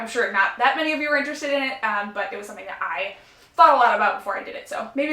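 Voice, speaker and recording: A woman speaks very fast in a high, raised, projected voice with very wide pitch swings, amid audible room echo and noticeable background noise. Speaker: nail polish youtuber. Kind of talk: casual vlog review. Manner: chatty, many fillers.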